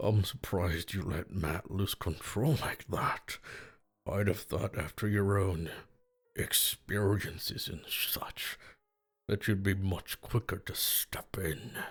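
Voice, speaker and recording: Delivered at a fairly slow pace, this raspy, put-on character voice comes through on a very clean recording with a silent background. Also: man, fairly low pitch for a man. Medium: read story. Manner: taunting, malicious.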